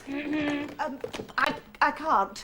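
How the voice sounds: A woman's put-on character voice, high in pitch, with a bright, sharp tone, a very slow pace and fairly even intonation.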